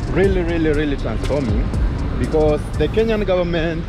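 Over music in the background, a man talks in a dry sound with no echo. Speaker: guest. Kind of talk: casual vlog commentary. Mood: upbeat, promotional. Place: street. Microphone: phone near.

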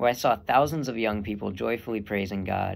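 A man with an American accent, fairly low in pitch with vocal fry, at a fairly quick pace. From Texas. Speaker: seminarian; young man discerning priesthood. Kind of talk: testimony. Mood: calm, sincere, reflective. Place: home room. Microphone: earbuds.

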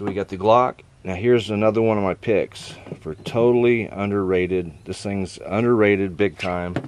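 A man's ordinary speaking voice, fairly low in pitch, at a moderate pace with fairly even intonation, dry sound with no echo and light background noise. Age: 60s. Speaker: knife reviewer and knife maker; knife reviewer. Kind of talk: casual product review. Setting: outdoors. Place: garden. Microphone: camera far.

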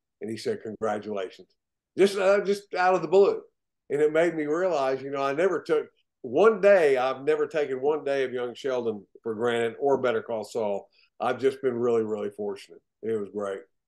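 Pitch swings very widely in this voice. The background is quiet. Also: man, medium pitch for a man, moderate pace. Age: 60s. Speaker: actor. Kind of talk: interview. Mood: warm, enthusiastic storytelling. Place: home room. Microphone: video call.

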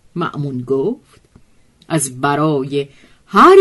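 A woman speaks at a very slow pace, the background quiet behind her. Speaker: storyteller narrator. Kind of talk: literary storytelling reading.

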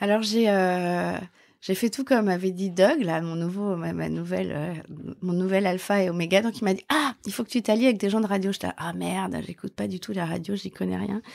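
A woman with an ordinary speaking voice talks at a moderate pace and medium pitch, with ordinary pitch variation, on a very clean recording with a silent background. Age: 50s. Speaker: journalist and live event founder. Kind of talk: interview.

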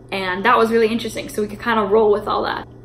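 This is a woman speaking. Light background noise can be heard. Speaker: vlogger. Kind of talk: casual vlog chat, storytelling. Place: kitchen. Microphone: phone near.

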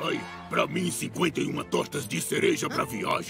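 A put-on character voice from a man, fairly slow in pace, set against clear music in the background. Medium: fan dub. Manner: loud, mocking, rowdy.

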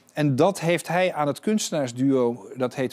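At a fairly high pitch, a man speaks at a fairly slow pace with ordinary pitch variation over a quiet background. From Netherlands. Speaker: art dealer and auctioneer; guest. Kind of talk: interview. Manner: halting. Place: studio. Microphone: lapel.

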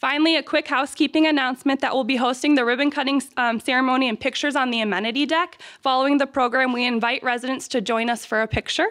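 Against a quiet background, a woman with a high voice talks with hardly any pauses and very even loudness. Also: fairly even intonation. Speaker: campus administrator hosting ceremony. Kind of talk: ceremony speech. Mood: warm, grateful. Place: hall. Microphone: podium.

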